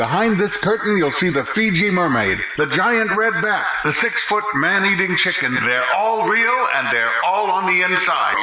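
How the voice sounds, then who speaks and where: With hardly any pauses, a man talks at a moderate pace in a high-pitched voice, his loudness very even and his intonation lively, over noticeable background noise. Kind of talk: sideshow talker's bally pitch. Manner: loud, energetic sales pitch.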